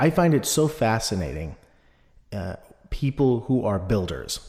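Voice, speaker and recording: The recording is very clean, and the background is silent. A man's voice comes out somewhat breathy. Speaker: podcast host. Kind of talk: interview. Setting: home studio. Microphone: echo in the room.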